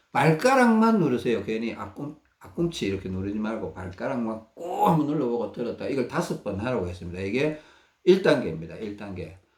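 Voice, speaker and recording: Speaking with a Gyeongsang accent, a man talks at a fairly quick pace in a medium-pitched, somewhat breathy voice. His pitch swings very widely, and his loudness rises and falls a lot. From Gyeongsang region, South Korea. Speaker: health researcher sharing self-care methods. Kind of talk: instructional talk. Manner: halting, with many fillers.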